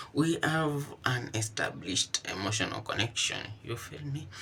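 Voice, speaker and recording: A fairly slow pace with ordinary pitch variation. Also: man. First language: not English. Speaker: vlogger job hunting. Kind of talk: casual vlog commentary. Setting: kitchen.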